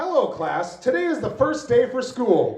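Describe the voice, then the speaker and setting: A man uses a put-on character voice at an extremely high pitch, with very wide pitch swings. He speaks at a moderate pace with slight echo. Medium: stage play. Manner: stern, commanding.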